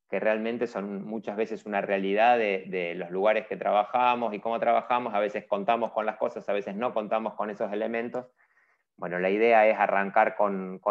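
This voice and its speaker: Over a quiet background, a man with a fairly low pitch speaks in a monotone, flat way at a moderate pace. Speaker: webinar host. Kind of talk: event introduction. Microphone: earbuds.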